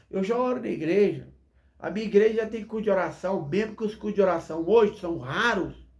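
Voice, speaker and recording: Amid audible room echo, a man speaks at a high pitch and moderate pace with ordinary pitch variation. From Minas Gerais, Brazil. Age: 40s. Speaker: pastor. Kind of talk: sermon. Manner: animated.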